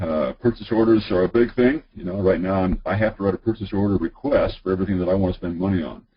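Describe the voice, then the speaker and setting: Somewhat breathy, a man rushes along at a very fast pace in a fairly low pitch. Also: ordinary pitch variation. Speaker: high school athletic director. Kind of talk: webinar presentation. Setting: online webinar. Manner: many filler words.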